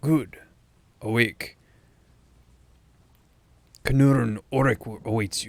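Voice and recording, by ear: A man puts on a raspy character voice at medium pitch. He goes at a very slow pace, with long, frequent pauses.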